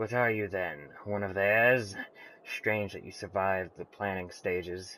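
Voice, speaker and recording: A man puts on a raspy character voice with a fairly low pitch. He delivers it at a moderate pace. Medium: game stream. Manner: regal, intense, feverish.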